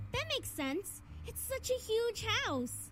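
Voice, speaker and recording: A woman does a squeaky, put-on character voice at a fairly slow pace, with clear background noise. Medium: fan dub.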